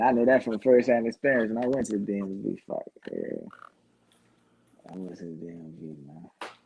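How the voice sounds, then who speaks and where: With a dark, mellow tone at medium pitch, this man goes at a fairly quick pace but leaves long, frequent pauses. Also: ordinary pitch variation, big swings in loudness. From New Orleans, Louisiana. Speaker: former co-host, guest. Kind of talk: casual chat.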